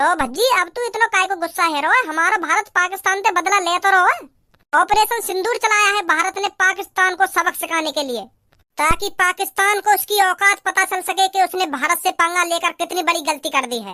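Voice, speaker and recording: A woman uses a squeaky, cartoonish character voice at an extremely high pitch and a moderate pace. The sound is dry and close with no echo. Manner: rustic dialect, firm.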